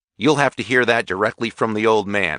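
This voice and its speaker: Against a quiet background, a man growls through a put-on character voice at medium pitch and a fairly quick pace. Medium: read story. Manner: cheerful, unruffled.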